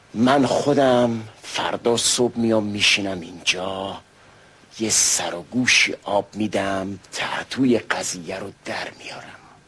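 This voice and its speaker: This man has a fairly low pitch, ordinary pitch variation and a very slow pace. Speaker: voice actor, announcer and stage, radio and TV actor. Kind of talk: old radio or TV drama dialogue.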